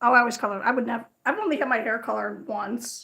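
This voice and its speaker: A woman's fairly high voice, bright and sharp in tone, at a fairly quick pace. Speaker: crochet livestreamer. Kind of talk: casual livestream chat. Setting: livestream. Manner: fast.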